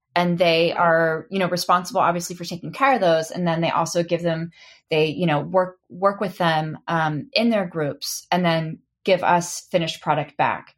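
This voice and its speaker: With an American accent and a plain, everyday voice, a woman talks at a moderate pace and a fairly low pitch, her intonation fairly even against a quiet background. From Oklahoma, England and Texas. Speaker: knitwear manufacturer. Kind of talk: interview conversation.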